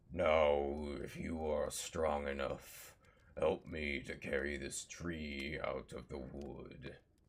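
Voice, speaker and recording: In a put-on character voice, a man speaks very slowly with a very deep, low pitch. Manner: storytelling, acting a character voice.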